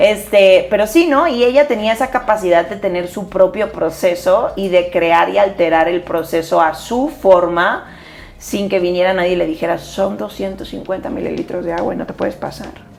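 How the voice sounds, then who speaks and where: Against noticeable background noise, a woman talks at a moderate pace with lively intonation. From Spain. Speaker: podcast co-host, dancer. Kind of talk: casual chat.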